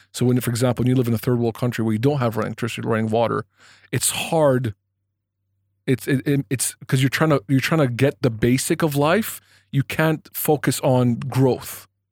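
Fairly quick and medium in pitch, a man speaks with fairly even intonation and an unremarkable speaking voice. The very clean recording has a silent background and a dry, close sound with no echo. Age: 30s. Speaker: podcast host. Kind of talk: casual chat.

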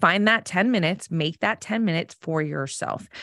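Against a quiet background, a woman with an American accent speaks at a moderate pace in a fairly low pitch, using a plain, everyday voice captured with a dry, close sound and no echo. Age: 40s. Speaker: self-mastery coach and podcaster. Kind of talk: casual interview chat.

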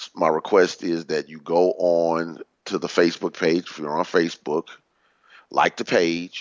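A man with a very deep, low pitch speaks at a fairly slow pace. His intonation is monotone and flat. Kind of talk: radio show teaching talk, sermon-like lesson.

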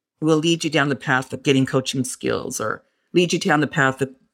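With a West Texas accent, a woman speaks in an energetic tone at a very deep, low pitch with ordinary pitch variation, on a very clean recording with a silent background. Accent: West Texas American. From West Texas (Fort Stockton). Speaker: Air Force civil service program manager. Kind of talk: interview conversation.

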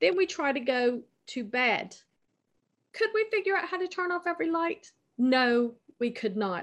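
Speaking with an American accent, a woman with a high pitch makes very wide pitch swings and takes long, frequent pauses. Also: moderate pace. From United States. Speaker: travel journalist. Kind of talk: casual chat.

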